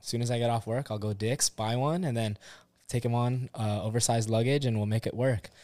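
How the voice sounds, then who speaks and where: A man with an American accent speaks at a fairly quick pace in an unremarkable speaking voice, medium in pitch with fairly even intonation. The recording is very clean, with a silent background. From Southern California, Orange County. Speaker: firefighter and gambler. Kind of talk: casual chat.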